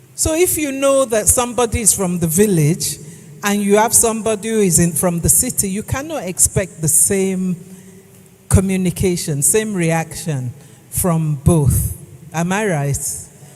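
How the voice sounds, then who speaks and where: A woman talks at a medium pitch while noticeable background noise fills the recording. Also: lively intonation, fairly slow pace. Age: 60s. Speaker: etiquette trainer. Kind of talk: lecture.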